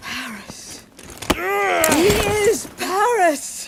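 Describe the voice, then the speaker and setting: A woman performs a cartoonish character voice. Her pitch is high. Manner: intense, fervent.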